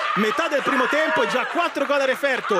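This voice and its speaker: A man speaks in an extremely high pitch, his voice raised and projected. He keeps a moderate pace while crowd noise fills the background. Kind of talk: live sports commentary.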